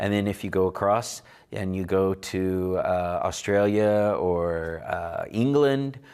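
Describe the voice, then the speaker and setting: A man with an Oklahoma accent speaks at a fairly low pitch amid audible room echo. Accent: Oklahoma American English. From Oklahoma, Delaware County (Cherokee community). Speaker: Cherokee language teacher. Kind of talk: lecture. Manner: halting, many fillers.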